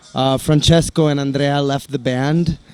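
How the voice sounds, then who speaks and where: Amid noticeable background noise, a man with an American accent and fairly high pitch talks at a moderate pace. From Italy (American family). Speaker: metal band musician. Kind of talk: interview. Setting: on tour, before a concert. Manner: halting.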